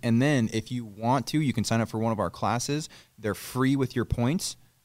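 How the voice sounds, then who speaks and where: A man with an American accent has an ordinary speaking voice at a medium pitch, with ordinary pitch variation. The recording is very clean, with a silent background. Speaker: auto detailing shop owner. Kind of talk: casual interview. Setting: in his garage shop.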